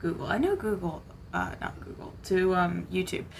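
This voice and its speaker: In a room with audible echo, a woman mumbles at a moderate pace. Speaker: gaming streamer. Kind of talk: live gameplay commentary. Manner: mumbling a little.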